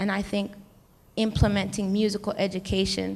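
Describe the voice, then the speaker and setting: A woman's medium-pitched voice with vocal fry and an American accent. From United States. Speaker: hip-hop artist. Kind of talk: panel discussion.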